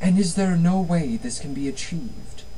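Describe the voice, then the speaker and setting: A put-on character voice at a middle pitch moves at a moderate pace over clear background noise. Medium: read story.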